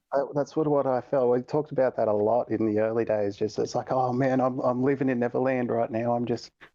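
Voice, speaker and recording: A man with an Australian accent talks at a very fast pace with hardly any pauses. His medium-pitched voice has a dark, mellow tone, monotone, flat intonation and very even loudness. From Australia, east coast. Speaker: gaming community member. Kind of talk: podcast interview. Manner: casual, hesitant with repetitions.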